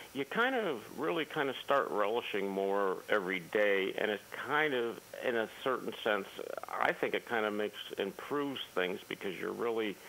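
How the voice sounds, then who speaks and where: Noticeable background noise fills the recording. Over it, a man speaks with ordinary pitch variation. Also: medium pitch for a man, moderate pace. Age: 60s. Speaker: caller. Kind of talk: casual chat.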